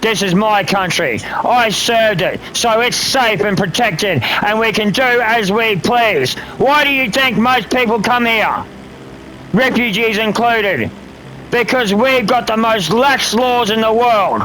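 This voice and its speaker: In an Australian accent, a man with a high pitch uses a raised, projected voice in an angry tone, speaking fairly slowly with ordinary pitch variation and very even loudness, amid audible room echo and noticeable background noise. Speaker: gamer streamer and military veteran. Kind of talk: casual livestream rant. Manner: angry, profane ranting.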